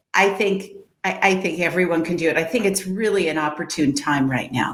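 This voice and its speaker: A woman's fairly low voice at a fairly quick pace, with audible room echo. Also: ordinary pitch variation. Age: 60s. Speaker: matchmaker and dating coach. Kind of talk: interview.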